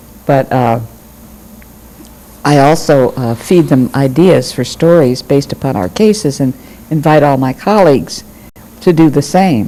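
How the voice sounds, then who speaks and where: A woman with an American accent speaks in a very deep, low voice with lively intonation over noticeable background noise. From Michigan, US Midwest. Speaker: retired judge. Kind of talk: oral history interview.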